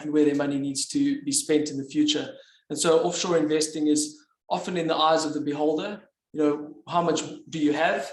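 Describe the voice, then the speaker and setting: A man speaks in a fairly high voice at a fairly quick pace. His intonation stays monotone and flat. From South Africa, Johannesburg. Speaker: investment advisor. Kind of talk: business presentation. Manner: hesitant, many fillers.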